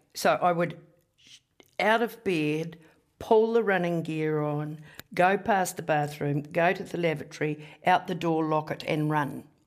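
A woman with a New Zealand accent and a fairly low pitch speaks at a fairly slow pace with ordinary pitch variation. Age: 60s. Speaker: economist and former politician. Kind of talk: casual interview chat.

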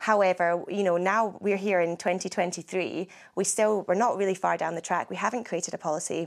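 A woman with a Scottish accent speaks in a medium pitch at a fairly quick pace with hardly any pauses and monotone, flat intonation, in a very clean recording with a silent background. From Scotland. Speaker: agricultural journalist. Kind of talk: interview.

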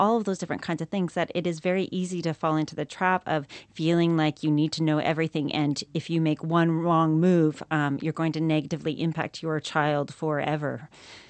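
With a Canadian accent and an ordinary speaking voice, a woman talks at a fairly quick pace and a fairly low pitch. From Canada. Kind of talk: radio interview.

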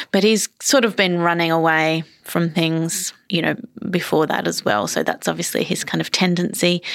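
A woman with an Australian accent, fairly low in pitch, with ordinary pitch variation and a moderate pace. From Australia, Melbourne and country Queensland. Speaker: novelist. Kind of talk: interview. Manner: halting, many fillers.

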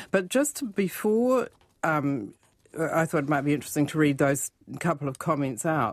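On a very clean recording with a silent background, a woman with a New Zealand accent speaks at a moderate pace in a very deep, low voice. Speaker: financial author and radio columnist. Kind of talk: casual radio chat about money. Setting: radio studio.

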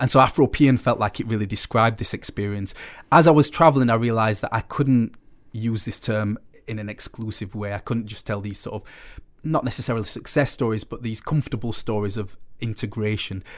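Someone with a Sheffield accent talks at a fairly quick pace, with ordinary pitch variation and big swings in loudness. The recording is very clean, with a silent background. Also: man, medium pitch for a man. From northern England, Sheffield. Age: young. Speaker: writer and photographer. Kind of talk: casual chat.

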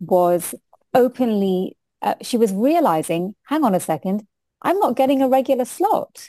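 A woman with a British accent speaks at a fairly slow pace in a dark, mellow tone with lively intonation. The sound is dry and close with no echo, in a very clean recording with a silent background. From UK. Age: 40s. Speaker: diversity consultant and lawyer. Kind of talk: interview.

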